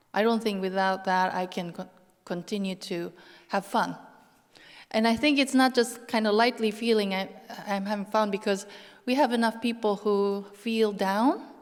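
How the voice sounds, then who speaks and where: Pausing long and often, a woman with a non-native accent speaks in a fairly high pitch with fairly even intonation. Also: moderate pace. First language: not English. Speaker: lecturer. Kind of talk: Q&A panel answer. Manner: halting.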